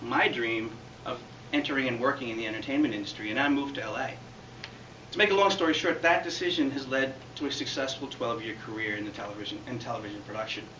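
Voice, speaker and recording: A man speaks at a very fast pace over light background noise, with audible room echo. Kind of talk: prepared public speech. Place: classroom. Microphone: camera far.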